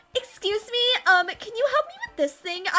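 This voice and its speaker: In a squeaky put-on character voice, a woman speaks at an extremely high pitch and a moderate pace, with lively intonation and big swings in loudness. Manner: awkward, nervous.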